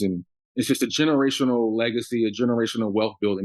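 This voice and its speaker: With an American accent, a man has an ordinary speaking voice, a medium pitch and fairly even intonation. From US Northeast, Long Island, New York. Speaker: business owner. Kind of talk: interview.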